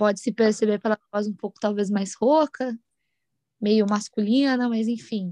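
A woman with a dark, mellow tone and fairly high pitch, at a moderate pace, in a dry, close sound with no echo. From Brazil, Mogi das Cruzes (São Paulo state). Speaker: podcast co-host. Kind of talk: casual chat. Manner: animated.

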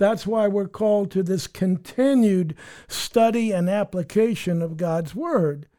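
A man with a high pitch and a dark, mellow tone speaks at a fairly slow pace with ordinary pitch variation on a very clean recording with a silent background. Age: 70s. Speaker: pastor and author. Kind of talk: bible teaching interview.

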